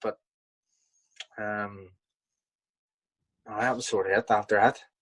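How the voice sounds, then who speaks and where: With a Belfast accent, a man speaks at a fairly slow pace. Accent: Belfast, Northern Irish. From Belfast, Northern Ireland. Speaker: professional boxer. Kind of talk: interview answer. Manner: casual, hesitant.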